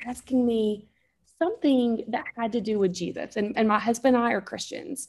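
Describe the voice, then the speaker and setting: Fairly high in pitch with a dark, mellow tone, a woman talks at a moderate pace in a slight Southern US accent. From North Alabama, US South. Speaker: mom, photographer and podcaster. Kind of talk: casual interview chat.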